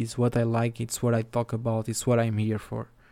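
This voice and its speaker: This voice has a dark, mellow tone. It speaks with a Portuguese accent. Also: man. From southern Portugal. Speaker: photographer. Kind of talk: solo podcast monologue. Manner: casual, laughs often.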